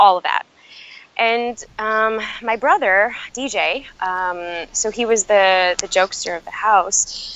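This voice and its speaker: A woman with a normal speaking voice, an American accent, fairly high pitch and ordinary pitch variation. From US Midwest, Chicago. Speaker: author and emotional intelligence educator. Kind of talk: podcast interview. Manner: frequent fillers like um and you know.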